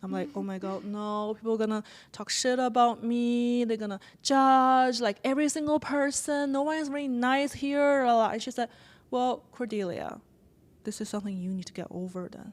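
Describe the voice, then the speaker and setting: A woman's high-pitched voice with a non-native accent and big swings in loudness. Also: ordinary pitch variation, moderate pace. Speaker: writer and podcaster. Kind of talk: interview conversation. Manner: halting.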